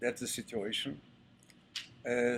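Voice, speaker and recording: A medium-pitched male voice with an Israeli accent. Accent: Israeli Hebrew. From Israel (Ashkelon). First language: Hebrew. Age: 70s. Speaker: retired army general. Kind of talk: interview talk to audience. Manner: halting, many fillers.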